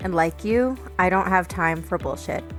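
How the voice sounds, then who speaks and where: A woman at a moderate pace, music in the background. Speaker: podcast host. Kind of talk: podcast intro.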